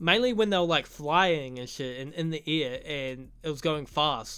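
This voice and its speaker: This voice carries a New Zealand accent. It moves along at a moderate pace. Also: man. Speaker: YouTuber, film reviewer. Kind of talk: casual video essay review. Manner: casual, profane.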